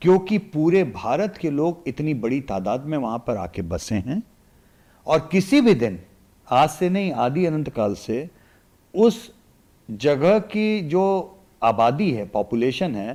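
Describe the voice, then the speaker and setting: In a very clean recording with a silent background, a man with a fairly high pitch and a dark, mellow tone swings very widely in pitch. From Varanasi, eastern Uttar Pradesh, India. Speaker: election analyst. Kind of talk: podcast interview.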